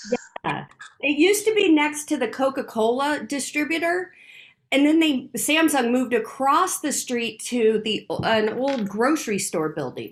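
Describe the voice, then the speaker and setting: Speaking at a fairly slow pace, a woman with a high pitch makes very wide pitch swings. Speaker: spiritual teacher hosting a weekly live session. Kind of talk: casual chat.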